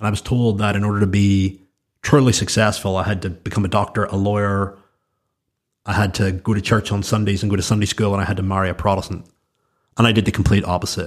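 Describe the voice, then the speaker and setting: A man speaks at a very fast pace with a Northern Irish accent, his fairly low voice monotone and flat. The recording is very clean, with a silent background. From Northern Ireland. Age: 30s. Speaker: entrepreneur and podcast host. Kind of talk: solo monologue.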